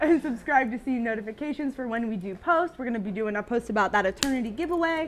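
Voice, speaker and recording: Delivered at a very fast pace with hardly any pauses, the speech carries lively intonation. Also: woman, high pitch for a woman. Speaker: company social media co-host. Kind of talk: casual live-stream chat.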